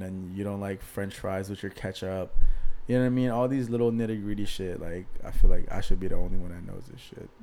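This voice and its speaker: In an American accent, a man delivers his words at a fairly quick pace with monotone, flat intonation. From Maryland / D.C. area. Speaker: podcast co-host. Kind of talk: casual chat.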